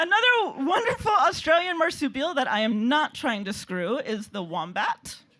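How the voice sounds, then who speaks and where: Over noticeable background noise, a woman with an American accent uses a raised, projected voice at a high pitch with very wide pitch swings. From United States. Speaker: comedian. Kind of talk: stand-up. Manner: halting.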